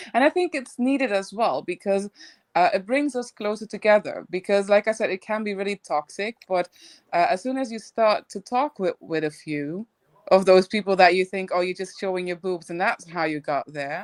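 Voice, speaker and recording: Speaking with a non-native accent, a woman uses lively intonation. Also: medium pitch for a woman, moderate pace, dry, close sound with no echo, very clean recording, silent background. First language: not English. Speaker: crypto commentator. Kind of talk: casual chat. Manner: halting.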